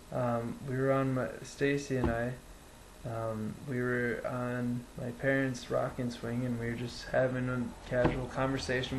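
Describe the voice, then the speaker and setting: Amid noticeable background noise and audible room echo, a man with an Upper Midwest accent talks at a medium pitch in a monotone, flat intonation. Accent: Upper Midwest (Wisconsin). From central Wisconsin, Wood County. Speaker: vlogger recounting personal experience. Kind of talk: casual first-person storytelling. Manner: halting, many fillers.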